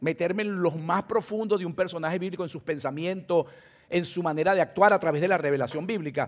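Fairly even intonation in a high-pitched male voice. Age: 60s. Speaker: pastor. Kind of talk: sermon. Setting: church. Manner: fast.

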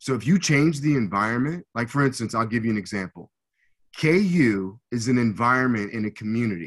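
With an American accent, a man talks at a fairly quick pace in a normal speaking voice, medium in pitch, with lively intonation against a quiet background. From US Midwest, Hutchinson, Kansas. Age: 50s. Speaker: former pro football player, motivational speaker. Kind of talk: podcast interview.

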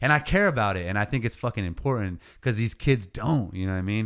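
Talking at a fairly quick pace in a plain, everyday voice, a man with an American accent speaks at a fairly low pitch with ordinary pitch variation, in a very clean recording with a silent background. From California Central Coast. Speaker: rapper and landscaping business owner. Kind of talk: casual chat.

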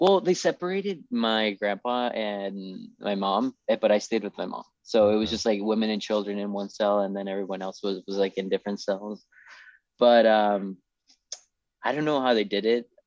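A man talks in an unremarkable speaking voice. His pitch is fairly low, with ordinary pitch variation. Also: moderate pace. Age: 30s. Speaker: store owner and new law graduate. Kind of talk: casual podcast interview.

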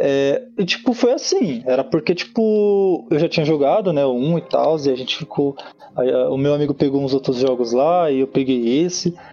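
A man's fairly high voice at a moderate pace, with lively intonation and very even loudness, against noticeable background noise. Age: 30s. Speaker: fan page administrator. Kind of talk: casual chat.

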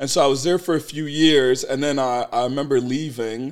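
A normal speaking voice with fairly even intonation, in a very clean recording over a silent background. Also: man. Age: 30s. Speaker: entrepreneur. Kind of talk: casual chat.

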